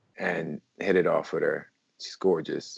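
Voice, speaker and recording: The sound is dry and close, without any echo. A man speaks at a moderate pace. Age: 30s. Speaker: guest, father discussing dating. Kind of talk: casual chat.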